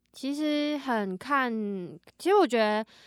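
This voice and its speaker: A woman at a moderate pace with very wide pitch swings, on a very clean recording with a silent background. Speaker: social media content creator. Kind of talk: casual chat.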